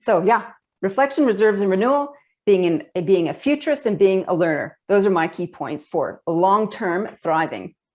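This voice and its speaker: A woman talks at a moderate pace in a medium pitch. Her intonation is lively, and the background is quiet. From Canada. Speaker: leadership expert and author. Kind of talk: webinar panel discussion.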